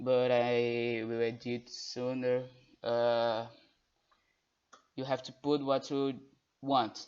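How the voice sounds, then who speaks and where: A very slow, monotone delivery with flat intonation, long and frequent pauses, and a Brazilian Portuguese accent. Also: man, medium pitch for a man. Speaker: guest tutor. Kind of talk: tutorial. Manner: halting.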